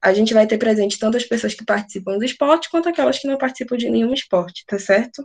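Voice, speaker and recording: A woman speaks very fast at a fairly high pitch with lively intonation. The background is quiet. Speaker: math tutor. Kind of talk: online class.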